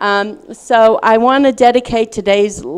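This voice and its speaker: With a Southern US accent, a woman speaks at a fairly slow pace and with ordinary pitch variation. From US South, Little Rock, Arkansas. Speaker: speaker, writer. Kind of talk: lecture, personal testimony.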